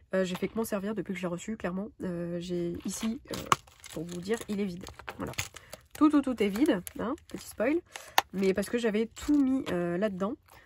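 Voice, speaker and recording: lively intonation from a woman at medium pitch, broken by long, frequent pauses, with noticeable background noise. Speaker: budgeting vlogger. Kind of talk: casual vlog chat. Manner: fast; hesitant, many fillers.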